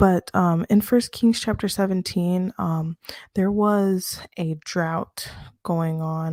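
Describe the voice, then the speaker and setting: A woman speaks quietly at a very slow pace, her fairly low pitch carrying a dark, mellow tone. The recording is very clean with a silent background, dry and close with no echo. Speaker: bible study teacher. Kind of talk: casual bible study talk. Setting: home apartment at night. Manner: quiet, speaking low; halting, many fillers. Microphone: close mic to help with low voice.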